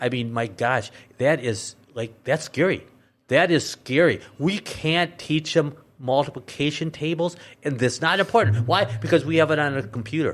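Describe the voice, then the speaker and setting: A man with an American accent talks at a moderate pace in an ordinary speaking voice, fairly high in pitch with ordinary pitch variation. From Minnesota. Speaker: political candidate. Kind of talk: casual political talk. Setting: studio. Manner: blunt.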